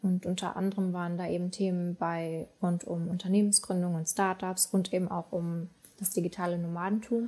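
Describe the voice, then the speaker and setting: The voice has a dark, mellow tone and is somewhat breathy. Its intonation is monotone and flat. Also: woman, medium pitch for a woman, moderate pace. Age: 20s. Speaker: digital nomad, content marketer. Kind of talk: interview.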